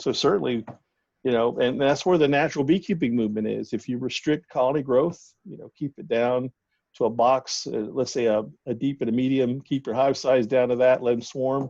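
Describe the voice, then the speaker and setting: With an American accent, a man speaks at a medium pitch and a fairly quick pace, his loudness swinging widely, in a dry, close sound with no echo over a quiet background. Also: ordinary pitch variation. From US South. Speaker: bee scientist. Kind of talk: casual interview. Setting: phone call.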